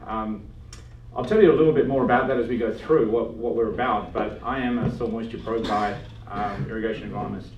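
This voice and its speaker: A man with an Australian accent talks at a fairly quick pace in a medium pitch, with noticeable background noise and audible room echo. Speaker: agronomist giving a talk. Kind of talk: lecture. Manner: casual with many fillers.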